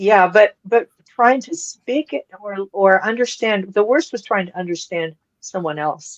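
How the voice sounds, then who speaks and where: A woman with an American accent speaks fairly slowly at a medium pitch with very wide pitch swings, the sound dry and close with no echo. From Colorado. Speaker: podcast co-host. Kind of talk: casual chat.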